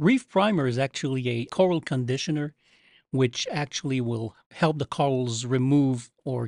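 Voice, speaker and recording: A man with a Quebec accent speaks at medium pitch with ordinary pitch variation. The sound is dry and close with no echo, over a quiet background. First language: French. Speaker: coral care company representative. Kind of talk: casual chat. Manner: halting.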